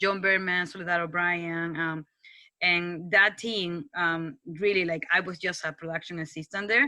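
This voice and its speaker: A woman with a strong non-native accent speaks at a moderate pace in a fairly low pitch, with a bright, sharp tone and ordinary pitch variation. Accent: foreign accent, strong. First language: Spanish. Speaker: TV news producer. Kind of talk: casual talk to students. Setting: video call. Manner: halting, with many restarts.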